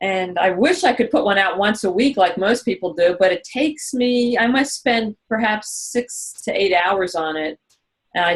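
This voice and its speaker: Delivered at a moderate pace with ordinary pitch variation, this is an unremarkable speaking voice with an American accent. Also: woman. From US, Philadelphia. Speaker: e-learning designer and podcast host. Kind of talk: Q&A on a webinar.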